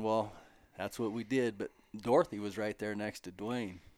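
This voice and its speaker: A man with an American accent speaks in a normal speaking voice at medium pitch. His intonation is fairly even, and the recording is very clean with a silent background. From Montana, US. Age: 50s. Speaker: podcast host, rancher. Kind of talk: casual chat. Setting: at a table in a friend's home.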